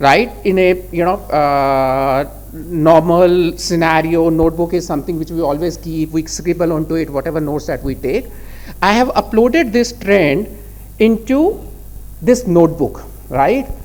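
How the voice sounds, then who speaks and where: Over noticeable background noise, a man with an Indian accent speaks at a moderate pace and a high pitch, with ordinary pitch variation. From India, Delhi. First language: Hindi. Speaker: conference speaker. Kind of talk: technical presentation.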